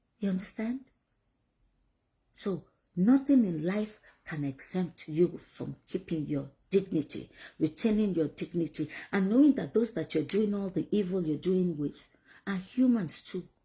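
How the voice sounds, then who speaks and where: A woman with a dark, mellow tone speaks at medium pitch and a moderate pace, her intonation lively and her voice somewhat breathy. She leaves long, frequent pauses, and the recording is very clean with a silent background. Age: 50s. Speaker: vlogger. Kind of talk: motivational talk. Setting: at home.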